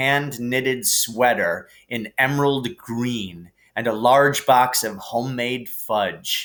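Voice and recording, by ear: A natural voice reading aloud, intonation fairly even.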